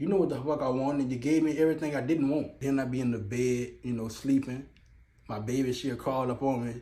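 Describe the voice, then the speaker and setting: Audible room echo surrounds a man's animated, fairly high-pitched voice with ordinary pitch variation. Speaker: interviewee. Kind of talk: street interview. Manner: halting.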